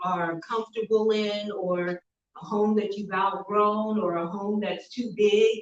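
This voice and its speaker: A woman speaks in a normal speaking voice at a fairly slow pace. Her pitch is medium and her intonation fairly even. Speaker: real estate agent. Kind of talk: seminar presentation. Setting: live seminar with audience.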